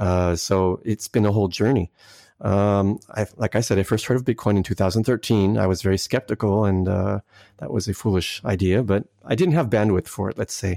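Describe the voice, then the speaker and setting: A man with an American accent and a dark, mellow tone talks at a fairly quick pace with fairly even intonation, in a very clean recording with a silent background and a dry, close sound with no echo. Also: fairly low pitch for a man. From United States. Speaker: Bitcoin Core contributor. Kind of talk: interview, technical explanation.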